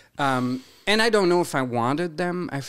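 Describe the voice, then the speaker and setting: Recorded very cleanly against a silent background, a man's voice swings very widely in pitch. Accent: French. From Quebec. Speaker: realtor and drag performer. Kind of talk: podcast interview. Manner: animated.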